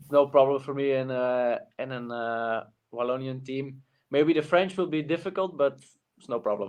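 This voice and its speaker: The speaker, with a Flemish accent, talks at a moderate pace with ordinary pitch variation. Loudness swings widely. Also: man, medium pitch for a man. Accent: Flemish Dutch accent in English. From Flanders, Belgium. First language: Dutch. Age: young. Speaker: cyclist. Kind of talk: interview. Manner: halting, many fillers.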